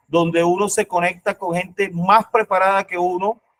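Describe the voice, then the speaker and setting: A man at a high pitch, monotone and flat, at a moderate pace in a dry, close sound with no echo. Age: 50s. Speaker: researcher, online event participant. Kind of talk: panel discussion remarks. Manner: halting.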